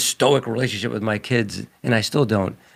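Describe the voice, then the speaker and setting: Vocal fry runs through this man's fairly even intonation as he talks at a moderate pace. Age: 60s. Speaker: religion talk show co-host. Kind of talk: casual chat.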